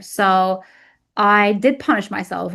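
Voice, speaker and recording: A woman speaks with an Arabic accent. Her pitch is fairly high. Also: quiet background. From Egypt. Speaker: weight loss coach. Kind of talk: interview testimony.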